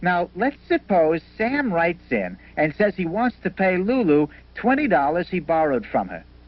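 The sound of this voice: In a cartoonish character voice, a man talks at a fairly slow pace, pitched high with big pitch swings.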